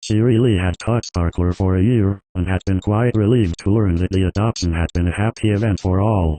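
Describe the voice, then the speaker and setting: A man's put-on character voice, fairly low and calm, at a fairly quick pace over a quiet background. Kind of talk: storybook reading. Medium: read story. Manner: calm, measured.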